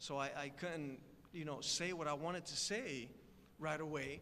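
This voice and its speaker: A man with a Spanish accent has a bright, sharp tone at fairly high pitch, fairly even intonation, and audible room echo around him. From Puerto Rico. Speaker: guest speaker. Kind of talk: speech. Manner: conversational, many fillers.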